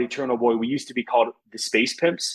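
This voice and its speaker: Speech comes out very fast. An American accent marks the voice. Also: man. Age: 30s. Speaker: singer and music festival founder. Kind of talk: casual chat.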